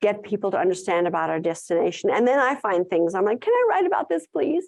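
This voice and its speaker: A woman with a South African accent speaks at a medium pitch against a quiet background. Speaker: tourism content writer and conference speaker. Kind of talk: conference talk with audience Q&A.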